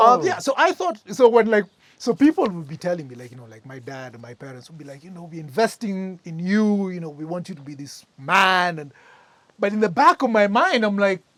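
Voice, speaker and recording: Speaking at a fairly quick pace, a man with a high pitch moves through very wide pitch swings and big swings in loudness. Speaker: recovering addict sharing his story. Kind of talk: testimony.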